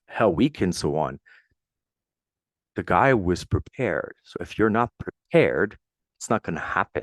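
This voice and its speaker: A man talks at a moderate pace with a French Canadian accent. The sound is dry and close with no echo, on a very clean recording with a silent background. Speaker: podcast host, military veteran. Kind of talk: solo motivational podcast. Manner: casual, conversational.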